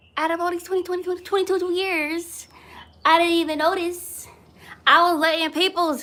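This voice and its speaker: Raised and projected, a woman's voice comes through with a bright, sharp tone. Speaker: content creator and motivational speaker. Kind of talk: inspirational talk, live video. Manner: loud; animated.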